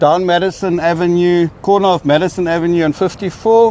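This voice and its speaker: Here a man speaks with a South African accent. His pitch is high. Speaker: nonprofit housing director. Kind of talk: speech at community event. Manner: halting, many fillers.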